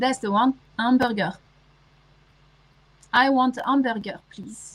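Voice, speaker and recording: In a French accent, a woman speaks fairly slowly in a high voice with fairly even intonation. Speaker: livestreamer. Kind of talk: casual chat.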